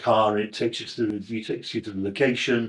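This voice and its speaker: With a northern English accent, a man talks at a fairly quick pace and a medium pitch. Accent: northern English, flat vowels and ringing g's. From northern England, Crewe in Cheshire. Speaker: actor. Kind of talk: interview reminiscence. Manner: halting, with fillers and self-corrections.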